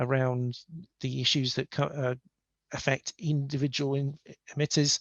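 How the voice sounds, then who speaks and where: The background is quiet. Speech moves at a moderate pace. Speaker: industry engineer giving guest lecture. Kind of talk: lecture. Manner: hesitant with many fillers.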